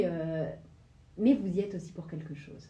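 A somewhat breathy woman's voice with a dark, mellow tone and audible room echo. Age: 30s. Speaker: radio host, former dancer; radio host. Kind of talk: radio interview. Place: studio.

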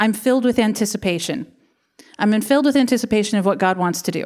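A woman talks with ordinary pitch variation, and the background is quiet. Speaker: pastor. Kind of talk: sermon. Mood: warm, light laughter. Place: church. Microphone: handheld.

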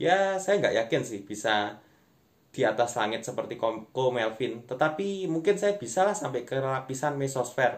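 This man's pitch rises and falls over a very wide range. He keeps to a moderate pace. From East Java, Indonesia. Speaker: stand-up comedian and content creator. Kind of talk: stand-up comedy, online monologue to camera. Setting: online video, self-recorded without clip-on mic. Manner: conversational, addressing viewers as friends. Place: home room. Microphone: phone near.

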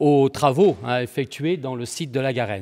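Speaking very slowly, a man is heard over a quiet background. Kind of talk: lecture. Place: hall. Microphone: podium.

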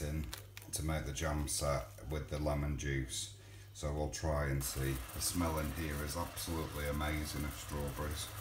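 Noticeable background noise sits behind a man with a very deep, low pitch. He speaks at a moderate pace with fairly even intonation. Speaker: home cook vlogger. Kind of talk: casual cooking tutorial. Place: kitchen. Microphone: phone near.

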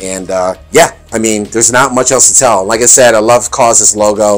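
This man keeps his intonation fairly even. His pace is moderate. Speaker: fashion reviewer. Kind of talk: casual vlog chat. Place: home room. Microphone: phone near.

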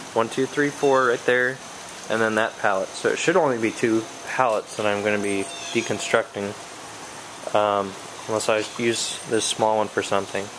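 A man at a moderate pace, with ordinary pitch variation, very even loudness, long, frequent pauses and noticeable background noise. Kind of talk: casual tutorial narration. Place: street. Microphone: phone near.

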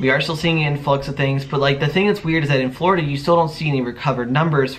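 Light background noise behind a male speaker with ordinary pitch variation. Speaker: vlogger. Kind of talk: casual vlog chat. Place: home room. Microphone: camera far.

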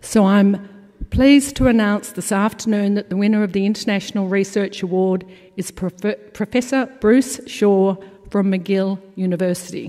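With an Australian accent, a woman talks at a moderate pace in a fairly even intonation. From Australia (Melbourne). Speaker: awards committee chair; conference presenter. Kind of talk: award presentation. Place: hall. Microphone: podium.

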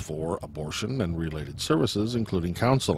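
A man's very fast, somewhat breathy speech with an American accent and very wide pitch swings, dry with no echo, over light background noise. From California. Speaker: political commentary show host. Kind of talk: scripted news commentary. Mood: critical, editorial tone. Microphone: studio mic.

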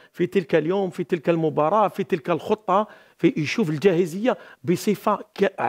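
A man with an Algerian accent speaks at a moderate pace and a high pitch. His pitch variation is ordinary, and the background is quiet. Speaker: football coach and pundit; football analyst. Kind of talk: studio football analysis panel. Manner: halting, repeats words. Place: studio. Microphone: headset.

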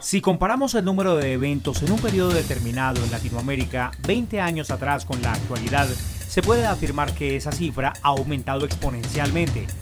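With clear music in the background, a man speaks at a fairly quick pace in a medium pitch with very wide pitch swings. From Colombia. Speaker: master of ceremonies; journalist and TV presenter. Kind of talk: promotional talk to camera. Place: home room.

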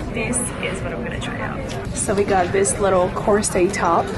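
Music plays behind a woman's voice, which sounds dry with no echo. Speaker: vlogger. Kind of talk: casual vlog chat. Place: shop. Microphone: phone near.

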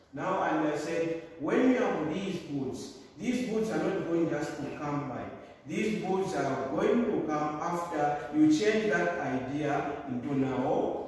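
A man's very slow, lively-intoned speech in a room with strong echo. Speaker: teacher. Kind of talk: lecture. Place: classroom. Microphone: camera far.

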